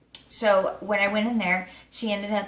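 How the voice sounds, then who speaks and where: Over noticeable background noise, a woman talks at medium pitch with fairly even intonation. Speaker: beauty vlogger. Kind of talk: casual product review. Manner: filler-heavy, casual.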